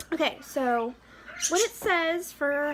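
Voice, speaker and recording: Background noise can be clearly heard. A woman talks over it, her pitch varying in an ordinary way. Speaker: pregnancy vlogger, mother. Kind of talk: casual vlog monologue. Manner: halting, stuttering.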